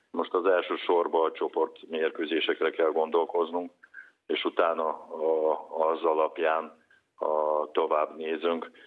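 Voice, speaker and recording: A very slow man's voice, broken by long, frequent pauses. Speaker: national team handball coach. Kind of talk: interview. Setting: phone call. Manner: halting.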